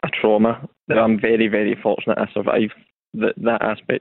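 A man with a West of Scotland accent speaks at a very fast pace. His medium-pitched voice keeps a fairly even intonation. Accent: West of Scotland Scottish. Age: 30s. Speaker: mental health campaigner. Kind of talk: testimony. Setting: phone call.

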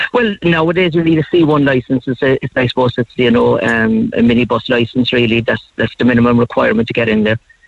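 A man with a Cork accent speaks at a very fast pace with hardly any pauses, at a medium pitch with ordinary pitch variation. His loudness stays very even, and the sound is dry and close with no echo. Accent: Cork Irish. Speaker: retired paramedic. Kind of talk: radio phone interview. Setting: phone call.

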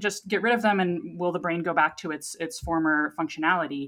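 A woman with a fairly low pitch and an unremarkable speaking voice at a fairly quick pace. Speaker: scientist, news segment guest. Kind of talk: casual science news discussion.

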